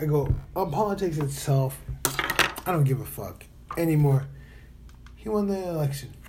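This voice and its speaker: A fairly high-pitched male voice with ordinary pitch variation, audible room echo and noticeable background noise. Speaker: podcaster. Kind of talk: casual monologue. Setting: hotel room.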